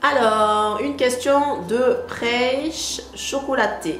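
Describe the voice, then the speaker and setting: A woman talks amid noticeable background noise, with audible room echo. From southern France, Marseille. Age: 30s. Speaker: beauty youtuber. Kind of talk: casual Q&A vlog. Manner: hesitant, many filler pauses.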